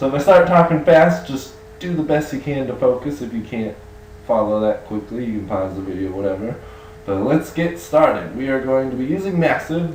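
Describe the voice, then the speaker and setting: Over noticeable background noise and audible room echo, a man talks with lively intonation at a medium pitch. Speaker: music production tutor. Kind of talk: tutorial.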